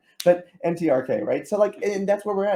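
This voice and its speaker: With a dark, mellow tone, a man rattles along at a very fast pace. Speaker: podcast host, oncologist. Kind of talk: podcast interview.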